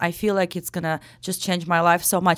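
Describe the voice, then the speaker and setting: A very clean recording with a silent background and a Ukrainian accent. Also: woman. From Ukraine. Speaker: real estate broker. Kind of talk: casual interview chat.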